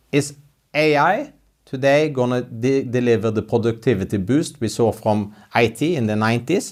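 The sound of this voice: A man at a moderate pace, slightly mellow in tone, with ordinary pitch variation. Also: medium pitch for a man, very clean recording, silent background.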